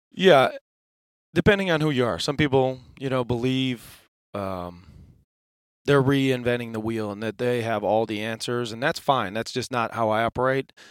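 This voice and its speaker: This is a man with an American accent and an ordinary speaking voice, pitched in the medium range with ordinary variation. The recording is very clean, with a silent background. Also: dry, close sound with no echo. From Western New York. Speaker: NFL strength and conditioning coach. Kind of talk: podcast interview. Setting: studio.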